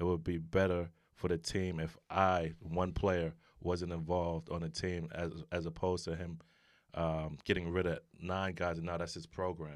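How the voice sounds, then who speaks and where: Monotone, flat intonation in a New York accent at a moderate pace, in a very clean recording with a silent background. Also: man, very deep, low pitch for a man. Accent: New York City. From New York City (Brooklyn). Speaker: retired basketball player, aspiring referee. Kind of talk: casual interview.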